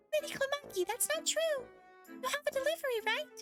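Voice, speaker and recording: A female-sounding voice, squeaky and extremely high-pitched, puts on a character voice at a fairly quick pace with faint music in the background. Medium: virtual streamer. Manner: polite, correcting.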